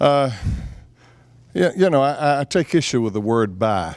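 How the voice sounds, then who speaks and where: A man with a Southern US accent, lively intonation and a moderate pace. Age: 70s. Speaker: public utility commissioner. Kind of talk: candidate forum.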